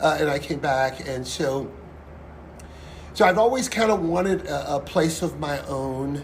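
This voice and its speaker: A man with fairly high pitch and ordinary pitch variation at a fairly slow pace with long, frequent pauses, amid audible room echo and noticeable background noise. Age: 60s. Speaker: singer and pianist, restaurant owner. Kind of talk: interview.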